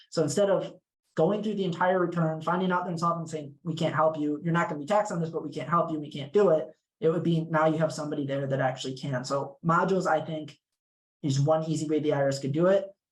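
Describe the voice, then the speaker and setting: Talking at a very fast pace, a man has a fairly high pitch. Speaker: legal clinic tax advocate. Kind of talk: panel discussion.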